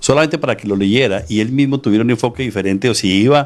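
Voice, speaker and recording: A man rattles off words at a very fast pace, his pitch varying in an ordinary way. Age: 60s. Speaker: author and real estate businessman. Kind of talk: interview.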